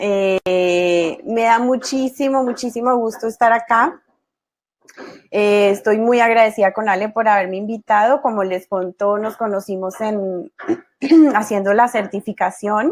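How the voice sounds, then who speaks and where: Fairly high, ordinary pitch variation, from a woman. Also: fairly slow pace. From Colombia. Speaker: positive psychology expert, guest lecturer. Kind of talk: online class. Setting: video call webinar.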